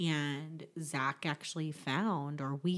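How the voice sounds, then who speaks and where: A woman with a very deep, low pitch speaks in fairly even intonation on a very clean recording with a silent background. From US, army family, moved around. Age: 30s. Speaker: podcast guest. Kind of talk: casual chat.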